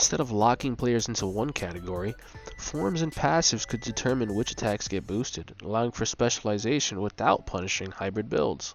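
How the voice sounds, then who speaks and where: A man's fairly low voice with lively intonation over music in the background. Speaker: gaming video creator. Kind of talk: video essay narration.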